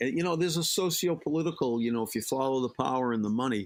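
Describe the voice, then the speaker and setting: In a Boston accent, a man speaks with ordinary pitch variation on a very clean recording with a silent background. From Boston area, Massachusetts. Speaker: life coach and psychotherapist. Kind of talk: interview conversation. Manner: animated, talkative.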